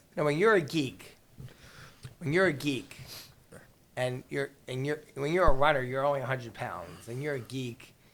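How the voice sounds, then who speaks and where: A man with a New York accent and medium pitch uses lively intonation at a moderate pace, with long, frequent pauses. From New York City, Queens. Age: 50s. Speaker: real estate attorney. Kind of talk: podcast interview, storytelling.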